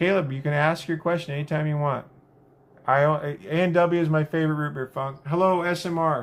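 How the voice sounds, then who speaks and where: A man with an American accent uses a normal speaking voice, fairly high in pitch, with fairly even intonation at a fairly quick pace. The recording is very clean, with a silent background. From US Pacific Northwest. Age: 60s. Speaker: livestreamer. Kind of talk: casual chat. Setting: live stream. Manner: chatty.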